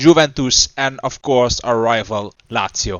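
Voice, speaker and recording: A man talks with a Dutch accent. His pace is fairly slow and his pitch varies in an ordinary way. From Netherlands. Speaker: gaming YouTuber. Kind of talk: gameplay commentary. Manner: halting, with fillers.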